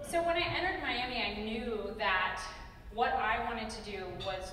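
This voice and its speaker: A woman with an American accent speaks at a moderate pace, leaving long, frequent pauses. Her pitch is fairly high, with audible room echo and light background noise. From Ohio, Dayton. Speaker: travel TV host and producer. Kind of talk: keynote speech. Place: hall. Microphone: podium.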